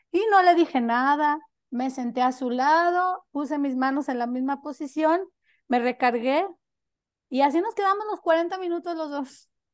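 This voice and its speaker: A woman's high-pitched voice at a fairly slow pace, with ordinary pitch variation and a quiet background. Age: 30s. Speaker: nanny. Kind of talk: casual chat.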